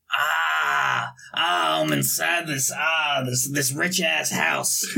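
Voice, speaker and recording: A man uses a put-on character voice that is raspy, at medium pitch with very wide pitch swings, at a very slow pace. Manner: loud, pained, exaggerated yelling.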